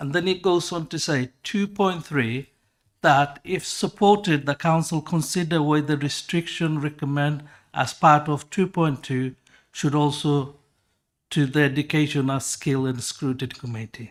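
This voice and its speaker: A man with a non-native accent, fairly high in pitch, at a moderate pace with ordinary pitch variation, in a very clean recording with a silent background. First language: not English. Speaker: councillor. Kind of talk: council meeting debate. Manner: halting.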